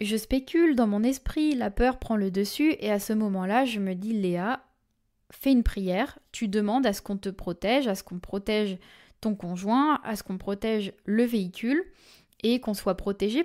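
On a very clean recording with a silent background, a woman speaks at a fairly high pitch in a dark, mellow tone with ordinary pitch variation. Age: 20s. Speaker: medium and podcast host. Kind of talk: storytelling monologue.

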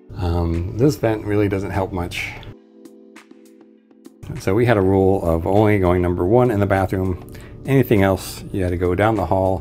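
Faint music plays in the background as a man with a very deep, low pitch speaks at a moderate pace. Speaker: cruise traveler reviewer. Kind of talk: casual walkthrough tour commentary. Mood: wry, mildly critical. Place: home room. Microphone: phone near.

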